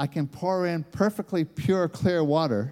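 A man with an American accent speaks at a moderate pace in a high, dark, mellow voice. The recording is very clean, with a silent background. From United States. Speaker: preacher. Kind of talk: sermon. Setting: church conference session. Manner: repetitive stammering restarts.

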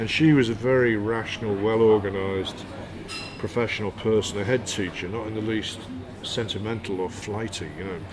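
Amid noticeable background noise and audible room echo, a man with a fairly low pitch talks at a fairly quick pace, his intonation fairly even. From northern England, Hull. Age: 60s. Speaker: poet and author. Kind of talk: interview.

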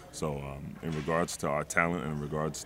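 The voice has vocal fry. Its intonation is monotone and flat. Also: man. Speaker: general manager. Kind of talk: casual interview.

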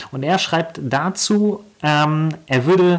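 This man talks at a very slow pace. His fairly high voice shows ordinary pitch variation. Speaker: podcast host. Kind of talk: casual chat.

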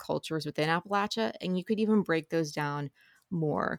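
A woman with a normal speaking voice and an American accent talks at a fairly quick pace, her pitch fairly low with ordinary variation. The sound is dry and close with no echo, in a very clean recording with a silent background. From Ohio River Valley, Ohio side. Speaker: book podcaster and editor. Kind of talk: interview conversation.

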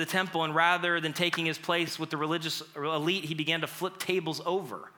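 A man speaks loudly at a high pitch. He talks fairly quickly with hardly any pauses. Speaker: pastor. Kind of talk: sermon. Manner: animated.

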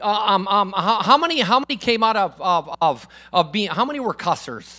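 In a raised, projected voice, a man speaks at a moderate pace with a high pitch, a bright, sharp tone, and lively intonation. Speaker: guest preacher. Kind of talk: sermon. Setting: church with congregation. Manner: loud.

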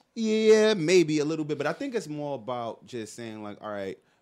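At a moderate pace, the speaker uses a New York accent with very wide pitch swings. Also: man, big swings in loudness. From New York City. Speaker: podcast co-host, advertising professional. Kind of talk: casual chat. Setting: studio.

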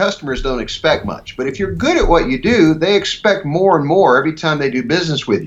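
A man's fairly high voice with vocal fry and an American accent. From US Midwest, rural Ohio. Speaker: leadership speaker and author. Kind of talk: interview.

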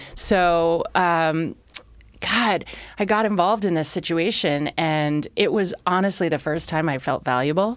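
A woman speaks in a normal speaking voice, fairly low in pitch with ordinary pitch variation. Her pace is fairly slow on a very clean recording with a silent background. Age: 40s. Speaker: ex-offender turned bar entrepreneur. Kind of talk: casual interview chat.

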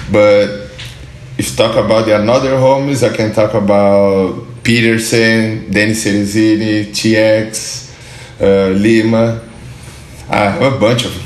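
A man with a Portuguese accent speaks at a very slow pace and fairly low pitch. His intonation is fairly even, and there is noticeable background noise. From southern Brazil, Porto Alegre. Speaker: pro skateboarder. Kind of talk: interview. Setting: studio.

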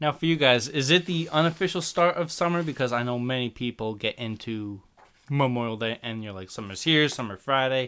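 A man speaks at medium pitch with a New Jersey accent, a bright, sharp tone and lively intonation. His loudness swings widely as he talks at a fairly quick pace. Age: 20s. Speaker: podcast guest, young producer. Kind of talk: casual chat.

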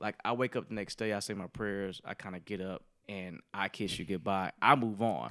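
In a very clean recording with a silent background, dry and close with no echo, a man with an American accent speaks at a fairly low pitch with a bright, sharp tone, a moderate pace, ordinary pitch variation and hardly any pauses. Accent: Southern accent pretty much gone. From Alabama, US South. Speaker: engineer and part-time DJ. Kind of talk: casual chat.

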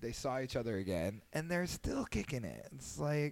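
A man's animated, fairly quick delivery at a medium pitch. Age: 30s. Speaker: podcast host. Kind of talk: casual chat. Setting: home.

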